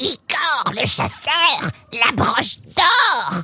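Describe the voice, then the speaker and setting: Very slow delivery in a put-on character voice. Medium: read story. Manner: mock-formal, taunting.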